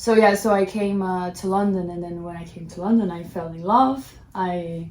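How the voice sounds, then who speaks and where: A woman with a Portuguese accent speaks at medium pitch and a moderate pace. Her intonation stays fairly even while her loudness swings widely, with audible room echo. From Brazil, Midwest. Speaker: fashion model. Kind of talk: casual chat.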